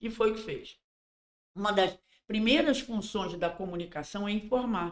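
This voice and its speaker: Moderately paced speech from a woman, an ordinary speaking voice, medium in pitch with ordinary pitch variation. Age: 60s. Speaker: endomarketing consultant. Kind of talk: casual podcast interview.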